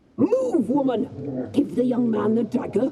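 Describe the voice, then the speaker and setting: The voice is a put-on character. It sits at a fairly high pitch. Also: fairly slow pace. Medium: video game. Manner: imperious.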